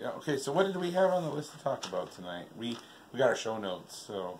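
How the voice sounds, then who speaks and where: A man talks very fast at a fairly high pitch, with very wide pitch swings and big swings in loudness. Audible room echo and noticeable background noise fill the recording. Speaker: vlogger and show host. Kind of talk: casual chat. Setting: living room, on a couch. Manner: hesitant, many fillers.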